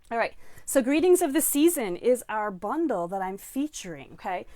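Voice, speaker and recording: A woman talks in an animated tone with very wide pitch swings. The recording is very clean, with a silent background. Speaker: stamping and card-making demonstrator. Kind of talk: live-streamed craft class. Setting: live stream at home workspace. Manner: fast.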